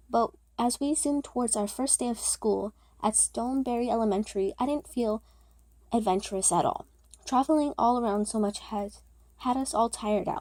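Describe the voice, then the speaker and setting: A woman mumbles at a moderate pace with a fairly high pitch, ordinary pitch variation and a dark, mellow tone. The recording is very clean with a silent background. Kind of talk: read story. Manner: occasional mumbling or stuttering; casual, amateur.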